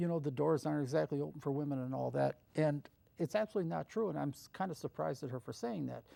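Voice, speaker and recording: A very fast-talking man with an American accent, in a dry, close sound with no echo. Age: 70s. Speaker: TV show producer and host. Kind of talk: interview.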